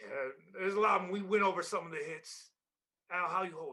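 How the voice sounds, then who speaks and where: Here a man puts on a character voice at a high pitch. He rattles along at a very fast pace. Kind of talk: improv comedy. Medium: stage play. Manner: mellow, easygoing.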